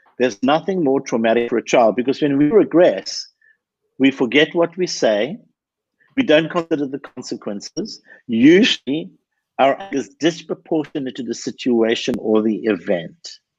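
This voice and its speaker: With an ordinary speaking voice, a man talks at a moderate pace and a fairly high pitch with lively intonation, in a dry, close sound with no echo over a quiet background. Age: 60s. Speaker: anger management expert. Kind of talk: podcast interview. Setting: live video stream.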